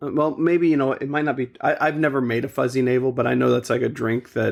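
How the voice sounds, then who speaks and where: A man speaks at a very fast pace with fairly even intonation. His pitch sits in the medium range. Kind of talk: casual podcast conversation. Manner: no sadness in voice.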